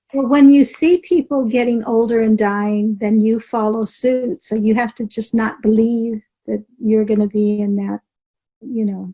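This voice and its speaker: A woman's fairly high, somewhat breathy voice with a dark, mellow tone at a fairly slow pace, in a dry, close sound with no echo. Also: fairly even intonation. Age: 70s. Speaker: author and healer, former stunt driver. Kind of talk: interview.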